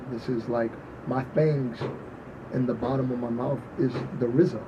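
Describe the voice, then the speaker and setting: A man with a New York accent, fairly even intonation and a moderate pace, over noticeable background noise. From New York, the Bronx. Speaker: party promoter and artist. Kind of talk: casual chat.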